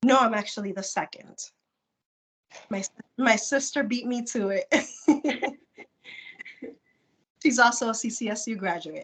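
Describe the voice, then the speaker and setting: With long, frequent pauses, a woman speaks at a fairly slow pace in a high pitch with ordinary variation. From Puerto Rico. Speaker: non-profit executive and interpreter. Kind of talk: interview answer.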